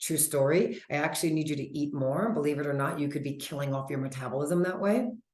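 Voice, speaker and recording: A woman speaks in an animated tone. The room echo is audible. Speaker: health coach. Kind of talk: webinar presentation. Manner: fast.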